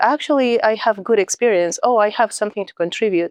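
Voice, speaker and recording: A woman talks with a Mexican accent and ordinary pitch variation. The sound is dry and close with no echo, over a quiet background. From Mexico. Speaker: nonprofit leader and executive coach. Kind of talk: podcast interview.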